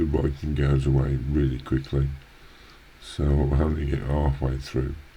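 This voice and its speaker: There is noticeable background noise behind this recording. A man speaks in a very deep, low pitch with monotone, flat intonation. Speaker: gaming youtuber. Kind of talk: let's play commentary. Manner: halting, many fillers.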